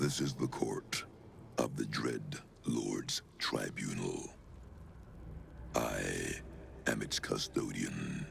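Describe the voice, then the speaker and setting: Using a put-on character voice, a man speaks at a very slow pace. Long, frequent pauses break up his speech, and clear background noise is present. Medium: machinima. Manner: slow, solemn, measured.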